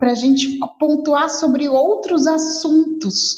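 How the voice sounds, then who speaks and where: Amid audible room echo, a woman with a high pitch speaks at a fairly slow pace. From Rio de Janeiro, Brazil. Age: 40s. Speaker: advertising professional and social media specialist. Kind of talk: podcast interview.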